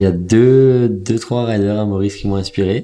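Over a quiet background, a man speaks fairly slowly at a fairly low pitch, with a dark, mellow tone and fairly even intonation. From Mauritius. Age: 20s. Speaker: professional kitesurfer and student. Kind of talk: personal testimony.

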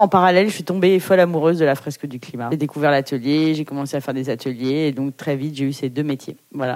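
A woman with a very deep, low pitch talks at a very fast pace with hardly any pauses, ordinary pitch variation and big swings in loudness. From Paris, France. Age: 40s. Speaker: photographer and climate activist. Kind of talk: interview.

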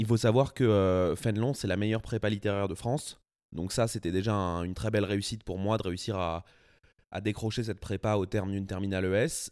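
This man speaks at a fairly quick pace with fairly even intonation. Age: 20s. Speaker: writer. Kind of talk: interview. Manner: hesitant, many filler sounds.

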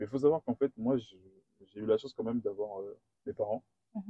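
This man talks at a fairly quick pace. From Guadeloupe. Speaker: engineer. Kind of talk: interview. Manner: hesitant.

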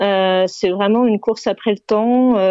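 A woman with a medium-pitched voice talks very slowly, her pitch varying in an ordinary way. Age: 40s. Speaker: single mother and entrepreneur. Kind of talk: casual chat. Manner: halting.

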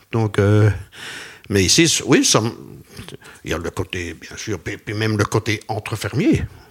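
Somewhat breathy and fairly low in pitch, the man talks at a fairly slow pace. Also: long, frequent pauses, big swings in loudness. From Belgian Ardennes. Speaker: retired cattle farmer. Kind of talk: interview.

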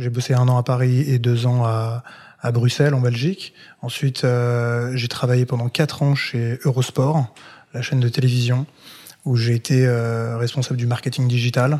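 At a medium pitch and moderate pace, a man speaks in a dark, mellow, somewhat breathy tone with monotone, flat intonation. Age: 30s. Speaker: content creator. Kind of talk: interview.

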